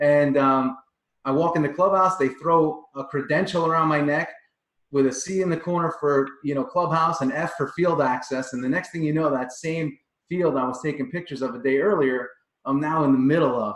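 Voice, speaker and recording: Here is a man with a Long Island accent and a fairly high pitch. He talks at a fairly quick pace with fairly even intonation. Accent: Long Island New York. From Long Island, New York. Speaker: performance coach. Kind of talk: interview.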